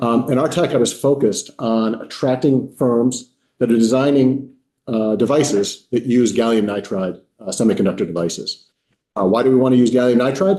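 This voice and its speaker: A man talks at a fairly quick pace and medium pitch. His tone is dark and mellow. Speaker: university innovation officer, manufacturing executive. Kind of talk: legislative testimony. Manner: fast.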